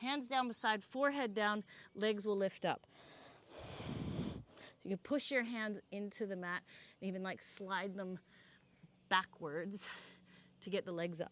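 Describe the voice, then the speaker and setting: Using a put-on character voice, a woman sounds strained at a medium pitch, moving at a fairly slow pace with long, frequent pauses. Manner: strained, effortful speech.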